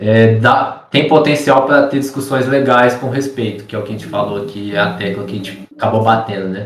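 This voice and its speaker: Using an ordinary speaking voice, a man talks at a fairly quick pace and a medium pitch with ordinary pitch variation and hardly any pauses. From Minas Gerais, Brazil. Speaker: barber. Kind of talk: casual chat. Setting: remote call.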